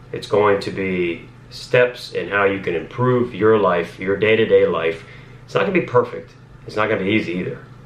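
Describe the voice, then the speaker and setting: A man's fairly low voice with an American accent, at a moderate pace, in a room with audible echo. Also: ordinary pitch variation. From Northern Virginia, US. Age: 20s. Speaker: police officer and lifestyle vlogger. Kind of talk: casual vlog monologue. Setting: home office, talking to camera. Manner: rambling, filler-heavy.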